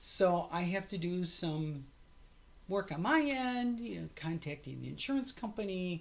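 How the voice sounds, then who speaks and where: A woman speaks at a medium pitch with a somewhat breathy quality. Her intonation is lively. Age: 60s. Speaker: vlogger documenting her gender transition. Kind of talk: casual vlog monologue. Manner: halting, repetitive fillers; animated.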